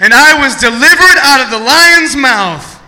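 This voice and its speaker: With an American accent, a man uses a raised, projected voice at an extremely high pitch and a moderate pace, with audible room echo and noticeable background noise. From Ohio. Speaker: guest pastor. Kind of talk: sermon. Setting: church.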